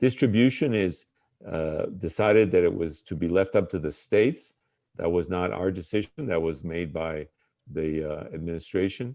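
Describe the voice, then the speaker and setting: This man's voice sits very deep and low, with a dark, mellow tone and ordinary pitch variation. He talks at a moderate pace against a quiet background. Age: 60s. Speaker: public health official and physician. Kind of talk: interview. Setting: remote call from home. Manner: hesitant, many filler words.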